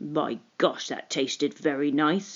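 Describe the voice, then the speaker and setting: In a put-on character voice, the speaker growls and rumbles at a low-to-middle pitch and a fairly slow pace. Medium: read story.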